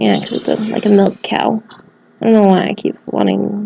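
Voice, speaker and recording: Quietly and at a moderate pace, a woman speaks over noticeable background noise. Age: adult, works at a college. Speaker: gaming video creator. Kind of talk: let's play commentary. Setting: study room in a college library. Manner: quiet, holding voice down; animated.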